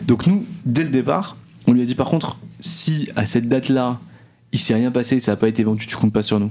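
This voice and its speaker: This man has a medium pitch. His pitch variation is ordinary. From northeastern France (Nancy). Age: 20s. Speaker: entrepreneur. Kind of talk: interview. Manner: halting, many repeated words.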